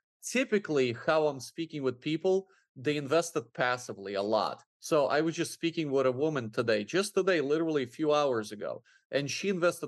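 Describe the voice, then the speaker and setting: An unremarkable speaking voice moves at a fairly quick pace with lively intonation, in a dry, close sound with no echo against a quiet background. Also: man. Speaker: real estate investor and syndicator. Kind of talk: casual interview.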